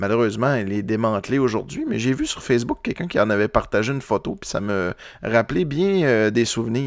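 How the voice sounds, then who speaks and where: At a fairly quick pace, a man with a Saguenay–Lac-Saint-Jean accent speaks at a medium pitch with lively intonation on a very clean recording with a silent background. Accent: Quebec French (Saguenay–Lac-Saint-Jean). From Quebec, Lac-Saint-Jean. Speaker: music podcast host. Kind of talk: casual monologue between music tracks. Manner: halting, many filler words.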